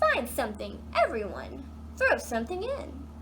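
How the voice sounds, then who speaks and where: A woman uses a put-on character voice over clear background noise. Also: moderate pace. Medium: read story.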